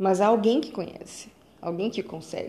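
In a Minas Gerais accent, the voice has a dark, mellow tone, moving at a moderate pace with ordinary pitch variation. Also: woman. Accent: Brazilian Portuguese, Minas Gerais. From Brazil, Belo Horizonte. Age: 20s. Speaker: podcaster. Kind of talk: personal monologue. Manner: halting.

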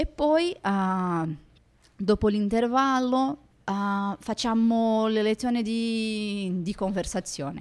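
A woman speaks very slowly in a fairly high voice with ordinary pitch variation. The recording is very clean, with a silent background. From Brazil. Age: 30s. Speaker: lawyer and language student. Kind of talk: casual interview. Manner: halting, many fillers.

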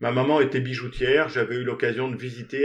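A man speaks at medium pitch and a very fast pace. His intonation is monotone and flat. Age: 60s. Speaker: theatre director, former tennis coach. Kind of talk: interview. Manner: halting.

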